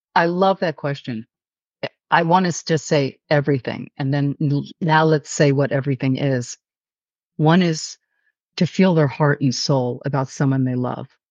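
A woman's very deep, low voice in a New York accent, at a fairly slow pace with long, frequent pauses. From New York City. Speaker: author. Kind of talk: interview. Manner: animated.

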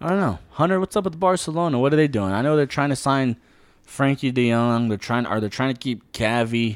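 In a very clean recording with a silent background, a man with medium pitch and an ordinary speaking voice talks fairly quickly with lively intonation. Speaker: sports podcast host. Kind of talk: casual sports banter.

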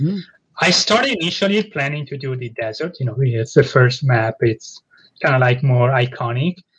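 At a moderate pace, a man with a medium pitch speaks in a somewhat breathy voice with ordinary pitch variation. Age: 30s. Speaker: indie game developer. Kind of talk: casual interview.

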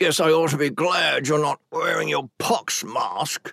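A man puts on a raspy, hissing character voice, pitched fairly high and delivered at a fairly slow pace, with a dry, close sound and no echo. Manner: hissed through gritted teeth.

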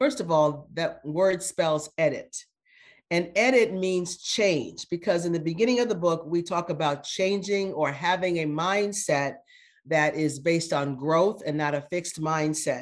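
Speaking with an American accent, a woman has an ordinary speaking voice, fairly low in pitch, with ordinary pitch variation. She talks at a fairly slow pace against a quiet background. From US Midwest, Phoenix, Illinois. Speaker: retired corporate executive and board director. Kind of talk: interview.

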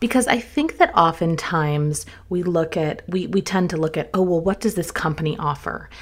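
Speaking with an American accent, a woman keeps a moderate pace with hardly any pauses and ordinary pitch variation. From US South, North Carolina. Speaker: travel podcast host. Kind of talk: solo podcast monologue. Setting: studio.

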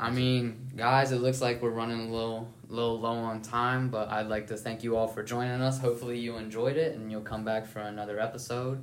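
With an American accent, a man talks at a fairly quick pace in a medium pitch with flat, monotone intonation and hardly any pauses, over noticeable background noise and audible room echo. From northern West Virginia. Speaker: college baseball player, podcast host. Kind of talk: casual chat.

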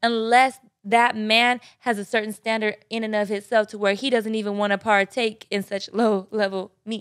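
A woman talks in a normal speaking voice at a fairly high pitch and a moderate pace. Her recording is very clean, with a silent background. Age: 20s. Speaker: podcast guest. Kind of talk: casual chat. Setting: studio.

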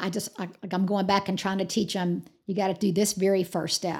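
In an American accent, a woman with an unremarkable speaking voice and medium pitch talks at a fairly quick pace on a very clean recording with a silent background. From Georgia, US South. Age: 50s. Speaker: fitness studio founder. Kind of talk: interview.

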